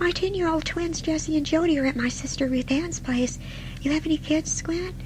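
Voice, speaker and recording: Loud background noise sits behind a female-sounding, put-on character voice. It is squeaky, extremely high in pitch and fairly quick. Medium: audio drama.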